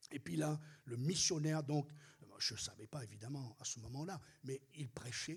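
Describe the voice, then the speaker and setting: This somewhat breathy voice moves with ordinary pitch variation. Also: man. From Réunion. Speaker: pastor. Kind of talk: sermon.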